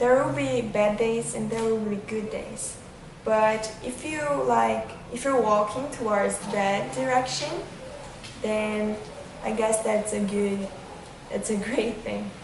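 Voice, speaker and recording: A woman's fairly high voice at a very slow pace, with long, frequent pauses, noticeable background noise and audible room echo. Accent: non-native. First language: not English. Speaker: vlogger. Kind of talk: casual vlog monologue. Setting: outdoors on a windy day.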